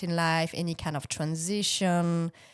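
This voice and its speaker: In a French accent, a woman speaks at a fairly low pitch and fairly slow pace on a very clean recording with a silent background. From France (Bordeaux). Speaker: business and life coach, former actress. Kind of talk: interview answer.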